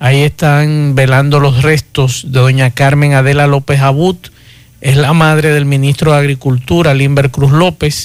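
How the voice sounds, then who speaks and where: A man speaks at a fairly slow pace, fairly high-pitched for a man. His intonation is flat and monotone, with music in the background. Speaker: radio host. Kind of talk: radio talk show.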